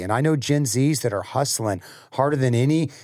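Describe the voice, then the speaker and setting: On a very clean recording with a silent background, an ordinary speaking voice moves at a fairly quick pace with lively intonation. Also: man. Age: 30s. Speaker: pastor. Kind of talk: casual chat. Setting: studio.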